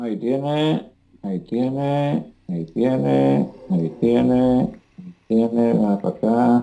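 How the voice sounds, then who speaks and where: A man speaks at a very slow pace in a dark, mellow tone. His pitch makes very wide swings. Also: medium pitch for a man. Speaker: gaming YouTuber's father. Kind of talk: gameplay commentary.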